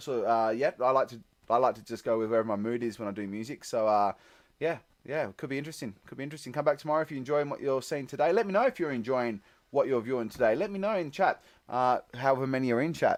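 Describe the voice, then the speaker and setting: A man with an Australian accent talks very fast at a medium pitch, with lively intonation and big swings in loudness against a quiet background. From Tasmania, Australia. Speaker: musician streamer. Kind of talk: live stream chat. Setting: basement with green screen. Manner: animated.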